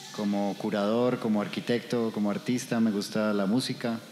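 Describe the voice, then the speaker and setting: A man's fairly low, flat, monotone voice at a fairly slow pace, with music in the background. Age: 50s. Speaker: architect and artist. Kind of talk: conversation with audience. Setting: art gallery.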